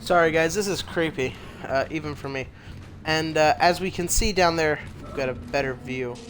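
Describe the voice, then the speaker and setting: A man speaks at a moderate pace in a fairly high voice with ordinary pitch variation, over noticeable background noise. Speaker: gaming youtuber. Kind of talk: let's play commentary. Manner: quiet.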